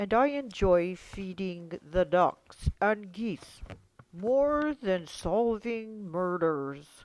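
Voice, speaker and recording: A put-on character voice, female-sounding and medium in pitch for a woman, moves at a very slow pace. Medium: stage play. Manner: mild, kindly.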